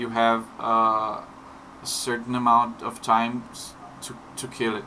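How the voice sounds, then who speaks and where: A man with a non-native accent speaks amid audible room echo and noticeable background noise. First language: not English. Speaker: indie game developer. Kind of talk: tutorial. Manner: halting, many fillers and repetitions; slow.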